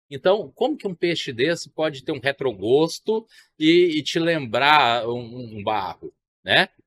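In a dry recording with no echo and light background noise, a man talks in a fairly high voice with lively intonation. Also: fairly slow pace. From Brasília, Brazil. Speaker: chef; guest. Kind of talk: interview at a trade fair. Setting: agricultural fair stand. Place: studio. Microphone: studio mic.

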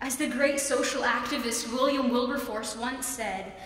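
The speech comes at a moderate pace with ordinary pitch variation and audible room echo. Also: woman. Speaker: student contestant. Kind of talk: persuasive speech. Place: hall. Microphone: podium.

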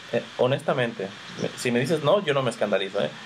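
There is light background noise. A man talks with lively intonation. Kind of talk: faith interview. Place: home room. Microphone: video call.

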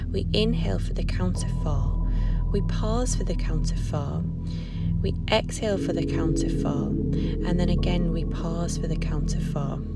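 A woman speaks with ordinary pitch variation over clear background music. The sound is dry, with no echo. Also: moderate pace. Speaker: yoga teacher. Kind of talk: guided yoga instruction. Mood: calm, soothing. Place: garden.

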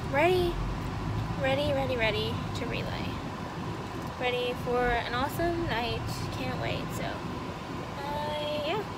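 Loud background noise surrounds a woman speaking at a fairly slow pace, with long, frequent pauses. The sound is dry, with no echo. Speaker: vlogger. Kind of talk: casual vlog chat. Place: car. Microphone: phone near.

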